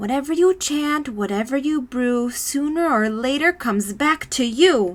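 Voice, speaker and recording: A woman's put-on character voice, high-pitched with hardly any pauses. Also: moderate pace. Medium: read story.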